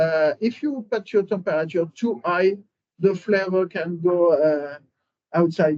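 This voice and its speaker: In a French accent, a man talks at a fairly slow pace with a high pitch and ordinary pitch variation. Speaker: winery cellar master. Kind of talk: interview about winemaking. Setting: at the winery. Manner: halting, many fillers.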